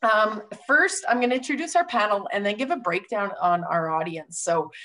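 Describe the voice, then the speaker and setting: Moving at a moderate pace, a woman's voice makes very wide pitch swings. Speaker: webinar host. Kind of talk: host introduction. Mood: upbeat and friendly. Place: office. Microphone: video call.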